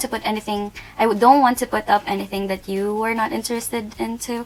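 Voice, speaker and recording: Amid noticeable background noise, a woman talks at a very fast pace with a fairly high pitch. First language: not English. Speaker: beauty youtuber. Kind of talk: product review. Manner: casual, hesitant.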